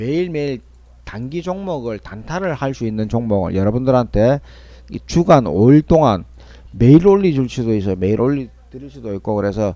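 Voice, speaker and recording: Man with a Busan accent, medium pitch, dark, mellow tone, lively intonation and a moderate pace. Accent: Busan dialect (Gyeongsang). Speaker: stock market commentator. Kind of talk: market analysis broadcast. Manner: casual, repetitive.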